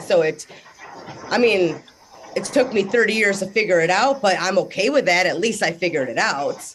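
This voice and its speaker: A woman speaks at a moderate pace and a medium pitch, her tone animated and her intonation lively. Noticeable background noise can be heard. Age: 30s. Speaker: discussion group participant. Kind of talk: casual group discussion.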